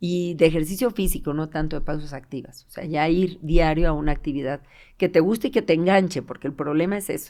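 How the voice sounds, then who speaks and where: On a very clean recording with a silent background, a woman with a fairly low pitch and a dark, mellow tone speaks at a fairly quick pace, with ordinary pitch variation and big swings in loudness. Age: 60s. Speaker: physiotherapist. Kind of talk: casual interview.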